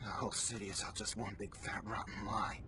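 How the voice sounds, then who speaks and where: Over loud background noise, a man does a put-on character voice. He talks at a fairly quick pace. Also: fairly low pitch for a man. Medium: fan dub. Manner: nervous, earnest.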